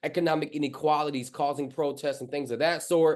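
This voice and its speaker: Over a quiet background, a man with a fairly high pitch talks with fairly even intonation in a plain, everyday voice. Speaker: pastor. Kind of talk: sermon.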